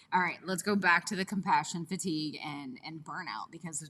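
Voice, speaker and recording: Mumbled speech at a fairly quick pace, bright and sharp in tone, with fairly even intonation. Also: woman. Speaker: podcast co-host. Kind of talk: casual chat. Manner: mumbling.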